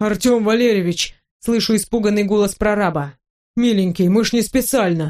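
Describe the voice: A quiet background behind plain reading aloud.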